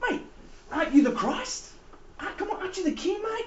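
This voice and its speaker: In a put-on character voice with an Australian accent, someone speaks at a fairly quick pace and an extremely high pitch with very wide pitch swings, and background noise is clearly heard. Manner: mocking, taunting.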